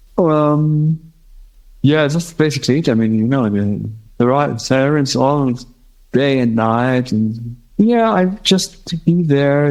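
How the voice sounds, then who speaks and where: A man's medium-pitched voice in a German accent, fairly slow in pace, with music in the background. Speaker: blind musician, guitarist. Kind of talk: interview conversation. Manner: halting.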